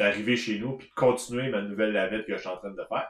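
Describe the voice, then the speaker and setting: In a Quebec accent, a man with a fairly low pitch speaks with fairly even intonation. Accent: Québécois French. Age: 30s. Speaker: knitting podcast co-host. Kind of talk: casual chat. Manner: halting.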